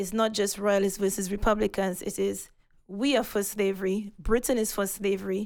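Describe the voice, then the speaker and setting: The speech is monotone and flat at a moderate pace. The recording is very clean, with a silent background. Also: woman. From Saint Lucia. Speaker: photographer and historian. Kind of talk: casual interview conversation. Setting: museum recording.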